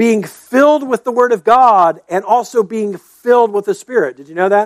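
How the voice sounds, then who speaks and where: A man talks at a moderate pace with lively intonation. The sound is dry and close, with no echo. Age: 50s. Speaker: pastor. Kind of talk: sermon. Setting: church.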